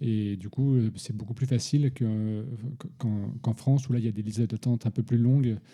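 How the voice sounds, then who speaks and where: Dark and mellow in tone, a man's voice carries the words. Its intonation is fairly even. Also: medium pitch for a man, moderate pace. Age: 30s. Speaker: father interviewed about parenthood. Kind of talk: casual interview. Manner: halting, many repetitions.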